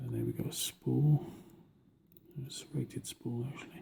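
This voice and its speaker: A man speaks quietly with a British accent. His pitch is medium. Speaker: lock picking hobbyist. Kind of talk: tutorial.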